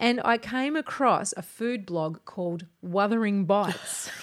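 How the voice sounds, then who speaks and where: With an Australian accent, the female speaker shows ordinary pitch variation. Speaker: podcast host, broadcaster and writer. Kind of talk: casual chat. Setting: home studio.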